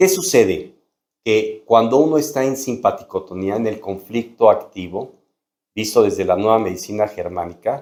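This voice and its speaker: The man has an unremarkable speaking voice, and his lively intonation rides on a medium pitch at a moderate tempo. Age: 60s. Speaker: doctor. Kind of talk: medical explainer video.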